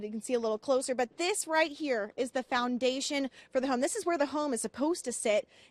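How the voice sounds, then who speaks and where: With a dry, close sound and no echo, a woman speaks at a fairly quick pace in a high pitch. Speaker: TV news reporter. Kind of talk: live TV news field report.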